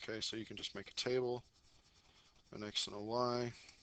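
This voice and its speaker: The tone is bright and sharp. The intonation is monotone and flat. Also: man. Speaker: math teacher. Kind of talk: tutorial. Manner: fast.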